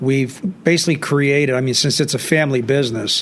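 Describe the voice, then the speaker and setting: Noticeable background noise surrounds a man whose fairly high voice moves at a fairly quick pace with fairly even intonation. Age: 60s. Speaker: business owner, prosthetics. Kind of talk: casual interview chat.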